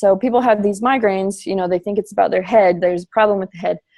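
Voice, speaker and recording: A woman's medium-pitched voice with an American accent, very fast in pace and fairly even in intonation. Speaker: fitness coach. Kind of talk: team call presentation.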